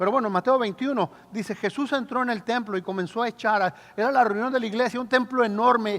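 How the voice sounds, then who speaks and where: Speaking very fast with hardly any pauses, a man uses an extremely high pitch and ordinary pitch variation. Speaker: pastor. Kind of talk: sermon.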